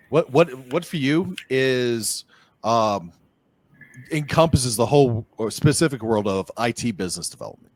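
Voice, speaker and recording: A man with a Boston accent talks at a moderate pace and medium pitch, his intonation lively, in a dry, close sound with no echo. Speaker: podcast host, app agency owner. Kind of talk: casual interview. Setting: call.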